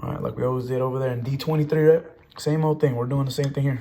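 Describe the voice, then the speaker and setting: Audible room echo surrounds a man's somewhat breathy, medium-pitched voice. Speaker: math teacher. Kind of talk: lecture. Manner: fast; animated.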